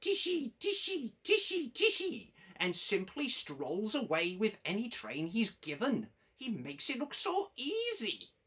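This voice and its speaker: A woman's put-on character voice, fairly high in pitch with very wide pitch swings, at a fairly slow pace. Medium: read story. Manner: teasing, boastful.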